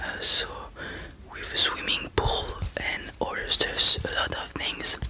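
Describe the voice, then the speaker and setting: Someone is whispering in a French accent amid noticeable background noise. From France. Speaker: ASMR creator. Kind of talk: ASMR storytelling. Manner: halting.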